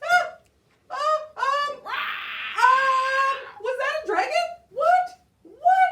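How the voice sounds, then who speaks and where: A cartoonish character voice sits at an extremely high pitch. It moves at a very slow pace, with long, frequent pauses. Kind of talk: puppet show performance. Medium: puppet. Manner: nervous, stammering.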